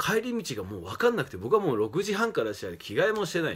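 A man's fairly high voice with very wide pitch swings and vocal fry. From Japan, Fukushima; Japan. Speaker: professional wrestler. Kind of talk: casual monologue. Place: home room. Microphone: phone near.

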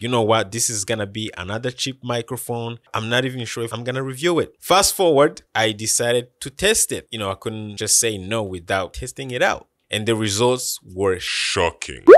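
Moderate pace with hardly any pauses, ordinary pitch variation, and a dry, echo-free sound over a quiet background. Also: man. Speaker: tech reviewer. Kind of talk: product review talk. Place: studio. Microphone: studio mic.

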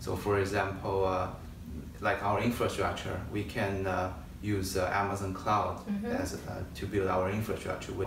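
With noticeable background noise and audible room echo, a man speaks at a moderate pace in a flat, monotone delivery with a fairly low pitch. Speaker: interview guest, quant analyst. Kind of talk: interview answer. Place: home room. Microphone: camera far.

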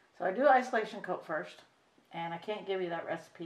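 A woman with an American accent speaks with lively intonation, and audible room echo surrounds her voice. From US Midwest. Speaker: reborn doll artist, video creator. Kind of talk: painting tutorial. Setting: home craft table, camera. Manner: casual, halting with fillers. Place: home room. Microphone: camera far.

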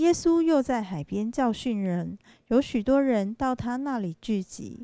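Very slowly and with lively intonation, a woman speaks at a fairly high pitch with a dark, mellow tone, in a very clean recording with a silent background and a dry, close sound with no echo. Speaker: scripture reader at a church service. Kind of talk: reading aloud. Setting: church.

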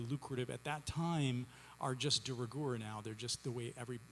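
Light background noise sits behind a man speaking with ordinary pitch variation. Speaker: playwright on a panel. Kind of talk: interview answer. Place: stage. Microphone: studio mic.

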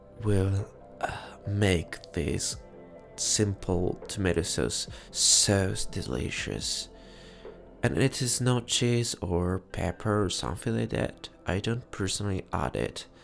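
A man's fairly low voice at a very slow pace, with very wide pitch swings and music in the background. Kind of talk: ASMR cooking video, casual talk to camera. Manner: whispered, soft-spoken.

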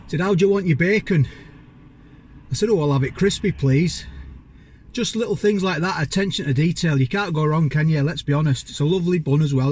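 This man talks at a fairly quick pace with ordinary pitch variation. The sound is dry, with no echo. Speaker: food reviewer. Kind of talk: casual vlog chat. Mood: cheerful, enthusiastic. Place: car. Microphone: phone near.

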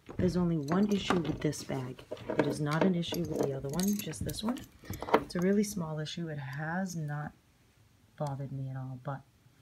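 Loud background noise sits behind a woman speaking at a fairly quick pace. Her pitch is very deep and low, with ordinary variation. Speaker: handbag reseller. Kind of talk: casual product show-and-tell vlog. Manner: whispered. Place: home room. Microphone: phone near.

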